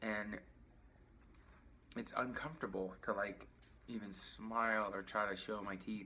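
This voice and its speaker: A man with a fairly low pitch speaks with long, frequent pauses, and room echo is audible. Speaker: patient sharing surgery recovery. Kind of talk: video diary. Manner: mumbling.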